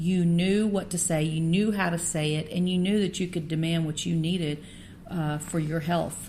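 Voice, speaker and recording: Audible room echo surrounds a woman whose fairly low voice has a dark, mellow tone and is somewhat breathy. Her intonation is monotone and flat, her loudness very even and her pace moderate. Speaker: podcast host. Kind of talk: interview. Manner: halting.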